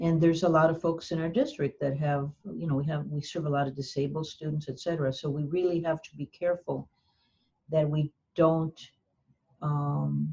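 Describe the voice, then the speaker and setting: The voice has a dark, mellow tone and is somewhat breathy. It moves at a moderate pace with monotone, flat intonation. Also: woman, very deep, low pitch for a woman. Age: 70s. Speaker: community college board president. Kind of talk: interview. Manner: halting.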